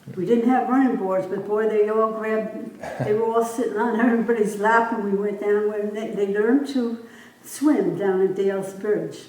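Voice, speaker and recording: A woman with an American accent speaks at a fairly high pitch and a moderate pace, with fairly even intonation. Audible room echo and noticeable background noise come through. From upstate New York, Columbia County. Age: 90s. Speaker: local elder interviewed for oral history. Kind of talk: oral history interview. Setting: library room. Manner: halting.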